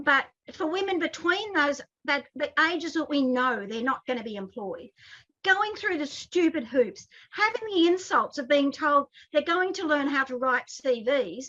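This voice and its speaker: With an Australian accent, a woman speaks at a high pitch and a moderate pace, her bright, sharp tone moving in very wide pitch swings. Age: 60s. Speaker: advocacy group president. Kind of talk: interview discussion. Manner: animated.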